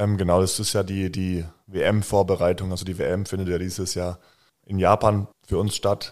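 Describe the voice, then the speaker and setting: In a very clean recording with a silent background, a man speaks at a moderate pace in a very deep, low pitch with monotone, flat intonation. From Bayreuth, Upper Franconia, Germany. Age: 20s. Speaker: professional basketball player. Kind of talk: interview.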